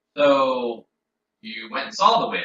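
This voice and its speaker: A fairly high-pitched put-on character voice from a man. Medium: actual play. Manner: gruff and suspicious.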